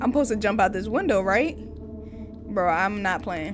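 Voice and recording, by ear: Lively intonation and a moderate pace come through over clear background noise. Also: woman, medium pitch for a woman.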